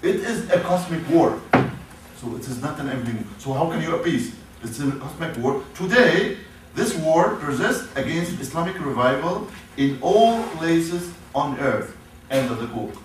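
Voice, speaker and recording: The speaker talks at a moderate pace in an Arabic accent, with very wide pitch swings. Audible room echo and noticeable background noise fill the recording. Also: man, fairly high pitch for a man. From Syria, Damascus. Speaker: professor. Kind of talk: lecture. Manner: halting.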